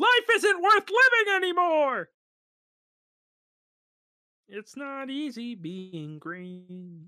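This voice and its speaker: A female-sounding, high-pitched put-on character voice moves at a very slow pace, with very wide pitch swings and long, frequent pauses. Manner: impression.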